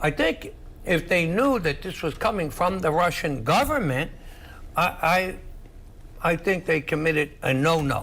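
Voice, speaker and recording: In a New York accent, the speaker uses lively intonation at a fairly slow pace. Long, frequent pauses break up the speech. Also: man, high pitch for a man. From New York City (Queens). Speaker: political analyst. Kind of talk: heated debate. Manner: animated.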